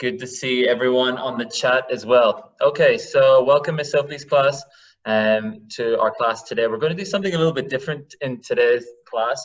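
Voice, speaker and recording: At a moderate pace, a man with a medium pitch sounds somewhat breathy and uses lively intonation. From Northern Ireland. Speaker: teacher. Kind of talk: online lecture.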